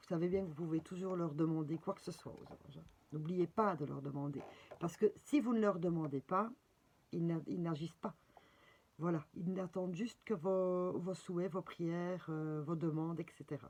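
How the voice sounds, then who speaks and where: A woman speaks at a moderate pace in a fairly low pitch with a dark, mellow tone, ordinary pitch variation and big swings in loudness. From Belgium. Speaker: spiritual guidance presenter, card reader. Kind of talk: casual guidance video with reading aloud. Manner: hesitant, many fillers.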